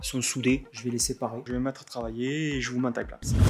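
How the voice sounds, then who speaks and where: With a southern French accent, a man with a medium-pitched voice speaks at a very fast pace over noticeable background noise. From southern France. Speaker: carpenter and workshop vlogger. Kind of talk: casual vlog walkthrough. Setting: empty concrete workshop. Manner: hesitant, many fillers.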